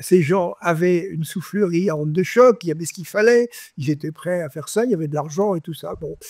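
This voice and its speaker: Recorded with a dry, close sound and no echo, a man talks at a fairly quick pace in a high, dark, mellow voice, with ordinary pitch variation and big swings in loudness. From France. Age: 80s+. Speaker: scientist. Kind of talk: interview answer, anecdotal storytelling. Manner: casual, colloquial.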